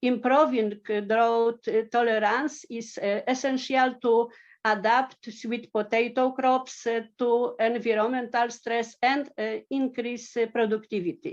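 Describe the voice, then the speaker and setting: A woman speaks in a high voice at a fairly slow pace with fairly even intonation against a quiet background. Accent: Polish. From Poland. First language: Polish. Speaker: agricultural researcher. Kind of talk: conference presentation. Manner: halting, many fillers.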